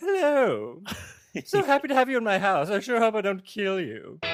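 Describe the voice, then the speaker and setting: A fairly high-pitched, put-on character voice moves along at a moderate pace. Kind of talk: aristocratic. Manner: falsely warm, menacing.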